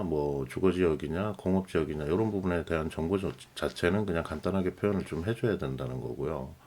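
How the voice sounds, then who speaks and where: At a very fast pace, a man with a very deep, low pitch speaks with ordinary pitch variation. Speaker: lighting designer tutorial host. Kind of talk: tutorial. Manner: casual, filler-heavy with self-corrections.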